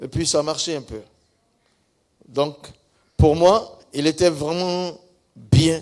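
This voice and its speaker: A man with an Ivorian accent speaks at a very slow pace and a fairly high pitch, with ordinary pitch variation and long, frequent pauses. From northern Côte d'Ivoire. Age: 70s. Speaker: pastor. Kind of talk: testimony.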